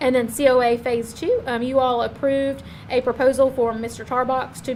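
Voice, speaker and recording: A woman talks in a monotone, flat intonation at a high pitch. Noticeable background noise is present. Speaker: county staff presenting project reports. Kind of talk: public meeting report. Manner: fast.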